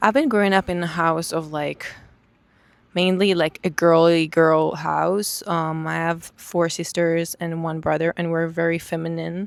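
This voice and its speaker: With an Israeli accent, a woman speaks slowly-ish at a fairly low pitch, her intonation monotone and flat. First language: Hebrew. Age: 20s. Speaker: vlogger. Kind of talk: personal testimony. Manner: halting.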